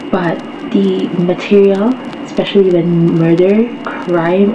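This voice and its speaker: A quiet voice with ordinary pitch variation moves at a very slow pace, heard with audible room echo and noticeable background noise. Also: woman. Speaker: podcast host. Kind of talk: casual solo podcast monologue. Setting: home at night, fan off. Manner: quiet, subdued.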